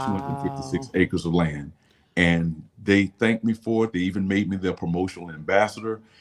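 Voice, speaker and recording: A man with a very deep, low pitch and ordinary pitch variation, music in the background. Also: fairly quick pace. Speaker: photographer. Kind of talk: interview answer.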